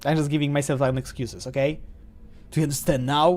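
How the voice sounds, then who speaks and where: The speaker has an animated tone in a Polish accent. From Poland. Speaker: streamer. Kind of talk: game live stream with reading dialogue aloud.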